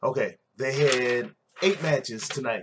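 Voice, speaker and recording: The man's speech moves at a fairly quick pace. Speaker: wrestling show reviewer. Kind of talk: casual recap commentary. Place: home room. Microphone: webcam.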